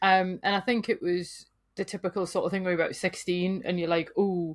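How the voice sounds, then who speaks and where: A woman with a northern English accent speaks at a fairly quick pace and a medium pitch, flat and monotone. The recording is very clean, the background silent. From northern England. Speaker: folklorist and writer. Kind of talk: podcast interview.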